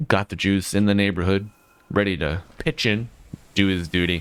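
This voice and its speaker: Here is a man with an American accent and a fairly low pitch. He speaks at a moderate pace. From USA. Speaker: esports caster. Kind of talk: live commentary. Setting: live stream. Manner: animated.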